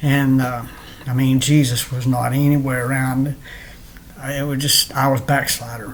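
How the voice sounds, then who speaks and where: With noticeable background noise and audible room echo, a man speaks in a monotone, flat intonation. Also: medium pitch for a man, moderate pace. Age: 60s. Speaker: person sharing religious testimony. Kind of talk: testimony. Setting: home, recorded at computer in bedroom. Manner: halting, many fillers and repeats.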